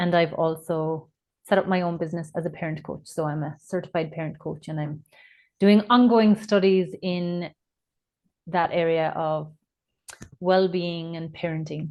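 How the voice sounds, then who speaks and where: With an Irish accent, the speaker talks at a moderate pace with fairly even intonation and long, frequent pauses. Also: woman, fairly low pitch for a woman. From Ireland. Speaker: nurse and parent coach. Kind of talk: podcast interview.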